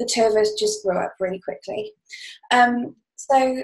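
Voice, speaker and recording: A woman talks at a moderate pace with ordinary pitch variation against a quiet background. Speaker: podcast interview guest. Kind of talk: interview answer. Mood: warm, reflective storytelling. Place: home room. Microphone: webcam.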